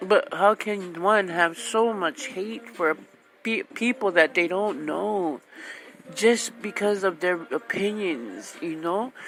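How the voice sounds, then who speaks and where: Speaking at a very slow pace, a woman uses a medium pitch with lively intonation. Noticeable background noise runs behind her. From Hawaii. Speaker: radio host. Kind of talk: casual monologue. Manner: loud.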